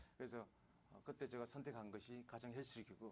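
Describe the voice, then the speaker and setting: A man at medium pitch, with a fairly quick pace and fairly even intonation. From Gangwon Province, Korea (Samcheok, Yeongdong). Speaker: businessman, former salesman. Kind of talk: radio interview. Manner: halting, many fillers.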